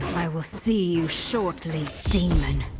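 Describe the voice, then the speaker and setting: Over clear background noise, a female-sounding cartoonish character voice speaks at a fairly slow pace and a fairly low pitch. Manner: dry, confident.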